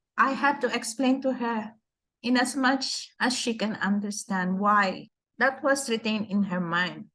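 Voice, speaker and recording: Against a quiet background, a woman talks at a fairly slow pace and fairly high pitch in a bright, sharp tone with ordinary pitch variation. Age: 60s. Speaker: nurse. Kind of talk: interview.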